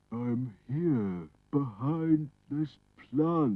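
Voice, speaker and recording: Mumbling in a cartoonish character voice, a man uses lively intonation at a medium pitch. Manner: hesitant, mumbling with mm sounds.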